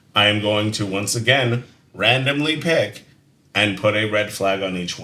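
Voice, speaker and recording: Loud and fairly low-pitched, a man speaks with a bright, sharp tone and ordinary pitch variation. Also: moderate pace. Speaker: podcast co-host. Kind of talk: casual chat. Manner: loud volume.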